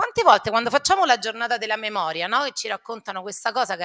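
A woman's very fast, fairly high-pitched speech with a bright, sharp tone against a quiet background. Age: 50s. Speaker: primary school teacher. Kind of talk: talk to students; lecture. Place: hall. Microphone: podium.

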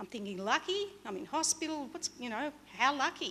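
The voice has a bright, sharp tone with an Australian accent. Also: woman. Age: 50s. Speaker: motivational speaker. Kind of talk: motivational talk. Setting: stage with audience. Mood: earnest, reflective storytelling. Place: stage. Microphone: podium.

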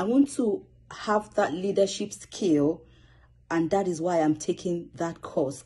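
A woman with a Nigerian accent, fairly low in pitch and somewhat breathy, with a dark, mellow tone, lively intonation and a fairly slow pace over a quiet background. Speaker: student public speaker. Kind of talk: self-introduction video. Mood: earnest, motivated. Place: home room. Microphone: phone near.

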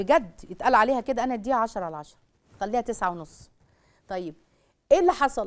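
A woman with an Egyptian accent speaks at a fairly high pitch with very wide pitch swings and big swings in loudness. Her pace is moderate, broken by long, frequent pauses. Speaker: religious family-life speaker; TV presenter. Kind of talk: religious talk to a live audience; religious-social talk to camera. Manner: animated. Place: studio.

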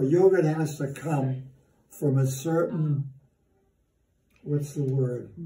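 A man with an American accent talks at a very slow pace with long, frequent pauses, his voice fairly high, somewhat breathy and dark and mellow in tone, with fairly even intonation and audible room echo. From Massachusetts, US Northeast. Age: 90s. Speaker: elderly father telling life stories. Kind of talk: casual chat; casual storytelling conversation. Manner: halting. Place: kitchen. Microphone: phone near.

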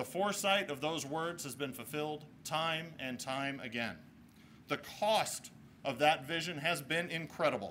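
A man with a fairly high pitch and ordinary pitch variation, at a fairly slow pace over light background noise. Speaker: mayor. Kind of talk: formal speech. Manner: formal. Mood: solemn, respectful. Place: street. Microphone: podium.

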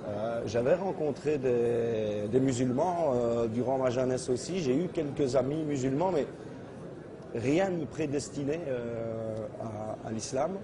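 Noticeable background noise sits behind a man talking at a very slow pace. He leaves long, frequent pauses, and his pitch varies in an ordinary way. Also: medium pitch for a man. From Belgium. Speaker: convert to Islam giving testimony. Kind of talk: testimony. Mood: calm, sincere. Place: hall. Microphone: lapel.

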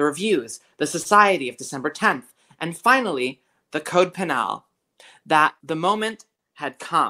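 Over a quiet background comes plain reading aloud.

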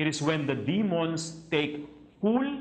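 Very slow speech from a man, his pitch varying in an ordinary way. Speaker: priest. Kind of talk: religious teaching talk. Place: home room. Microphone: lapel.

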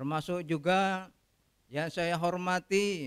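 A man's high-pitched voice, very slow, with ordinary pitch variation, against a quiet background. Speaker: retiring judge. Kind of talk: farewell speech. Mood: warm, apologetic farewell. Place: hall. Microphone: podium.

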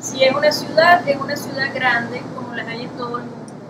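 Noticeable background noise behind a woman's voice. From Venezuela. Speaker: writer. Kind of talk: interview at a library event. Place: hall. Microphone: camera far.

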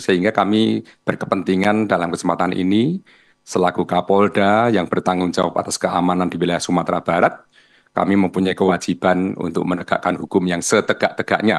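A man with a very deep, low pitch talks at a fairly quick pace. His intonation stays fairly even against a quiet background. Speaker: regional police chief. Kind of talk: press-style explanation in TV debate.

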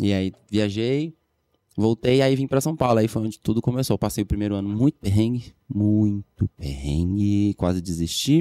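With a dark, mellow tone, a man speaks in a fairly low pitch at a moderate pace. His pitch varies in an ordinary way, and the sound is dry with no echo over a quiet background. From Florianópolis, Brazil; Brazil. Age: 30s. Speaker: dancer and dance teacher; dance teacher. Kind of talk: casual chat. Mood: calm, reflective. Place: studio. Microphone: studio mic.

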